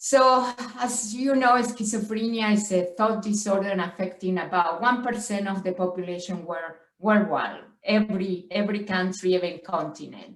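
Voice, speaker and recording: With a strong Spanish accent, a woman speaks in a room with audible echo. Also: medium pitch for a woman, ordinary pitch variation, moderate pace. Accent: heavy Spanish. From Argentina. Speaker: professor. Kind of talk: lecture. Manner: halting, with frequent stutters and fillers.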